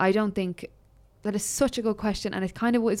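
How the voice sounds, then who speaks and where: The recording is very clean, with a silent background. A woman speaks very fast with fairly even intonation. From Ireland, other end from Waterford. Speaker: podcast co-host. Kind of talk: casual chat. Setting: studio.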